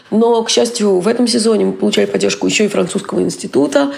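A woman's lively intonation carries through noticeable background noise. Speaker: theatre producer and curator. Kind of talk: interview.

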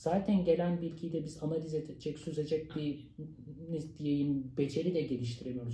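This man has an unremarkable speaking voice, fairly high in pitch, with ordinary pitch variation at a moderate pace. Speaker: sociologist and university lecturer. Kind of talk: interview.

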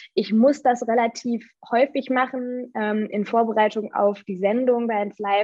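Fairly high in pitch with ordinary variation, a woman talks in an unremarkable speaking voice. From Germany. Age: 20s. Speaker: radio presenter and author. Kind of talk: interview.

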